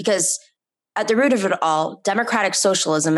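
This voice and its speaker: A woman talks at a fairly quick pace with an American accent. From New York. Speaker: political talk show host. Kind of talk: casual political chat. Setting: remote from a friend's home. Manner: animated.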